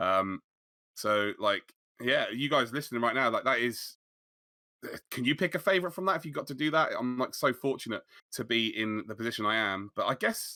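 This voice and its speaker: A man speaks at a fairly quick pace and medium pitch, with a bright, sharp tone and lively intonation, leaving long, frequent pauses. The recording is very clean, with a silent background. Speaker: sim racing commentator and league owner. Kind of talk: casual interview chat. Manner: fast.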